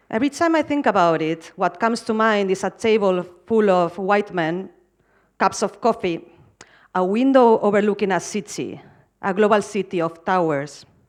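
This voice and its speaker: Over a quiet background, a woman with a medium-pitched voice talks at a moderate pace with lively intonation. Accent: strong Spanish. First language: Spanish. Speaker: architecture curator and academic. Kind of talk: conference keynote.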